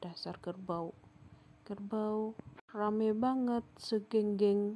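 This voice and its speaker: The woman's tone is dark and mellow, at a medium pitch. She speaks at a very slow pace with fairly even intonation. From Sumba, East Nusa Tenggara, Indonesia. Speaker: vlogger. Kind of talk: travel vlog narration.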